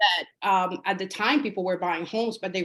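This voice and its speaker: Here a woman talks with a Spanish accent at a moderate pace. Her pitch is medium, with ordinary variation. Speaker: realtor. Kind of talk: interview. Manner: hesitant, many fillers.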